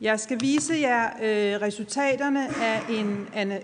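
A woman's fairly high-pitched voice at a very slow pace. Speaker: research department head. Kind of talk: presenting report findings.

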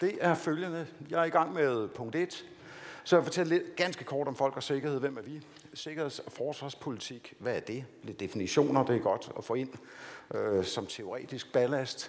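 A man speaks at a fairly high pitch and a fairly slow pace, with ordinary pitch variation. His loudness swings widely, and there is audible room echo. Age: 50s. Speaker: defence committee chair, former lawyer. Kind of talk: lecture.

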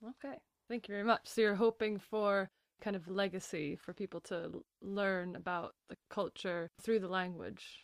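A woman with an unremarkable speaking voice talks at a moderate pace, her medium pitch showing ordinary variation. The sound is dry and close with no echo, and her loudness swings widely. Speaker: podcast host. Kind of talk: interview with scripted intro.

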